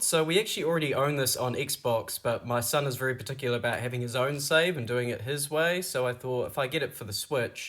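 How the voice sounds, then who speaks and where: Speaking with a New Zealand accent, a man talks at a fairly quick pace. His pitch is fairly high with ordinary pitch variation. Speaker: vlogger, single father. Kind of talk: casual vlog narration. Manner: whispering.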